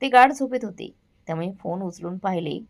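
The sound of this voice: This unforced reading voice carries lively intonation.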